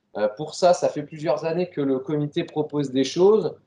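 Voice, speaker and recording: Speaking at a fairly slow pace, a man has a fairly high pitch and ordinary pitch variation. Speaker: regional sports federation staff presenting training. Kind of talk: meeting presentation. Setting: meeting room, streamed on Facebook. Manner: loud; hesitant, many fillers. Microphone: no microphone, hard to hear online.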